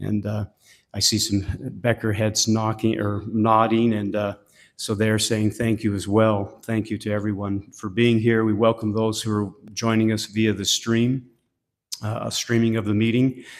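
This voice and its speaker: On a very clean recording with a silent background, a man speaks at a moderate pace in a fairly low, flat monotone. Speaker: bishop presiding at a funeral. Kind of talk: funeral service conducting. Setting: church funeral service, livestreamed. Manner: halting, many fillers.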